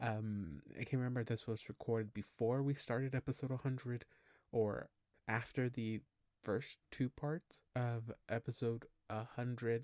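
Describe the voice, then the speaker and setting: A man's medium-pitched, quiet voice, dry and close with no echo, with fairly even intonation on a very clean recording with a silent background. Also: moderate pace. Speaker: podcast host. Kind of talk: casual podcast intro. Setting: at home, past midnight. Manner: quiet, hushed; hesitant, many fillers.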